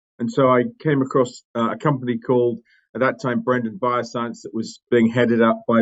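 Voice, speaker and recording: A man with an English accent, talking at a fairly quick pace. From England, London. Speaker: company CEO. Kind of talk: podcast interview. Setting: audio-only remote podcast. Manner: halting, many fillers.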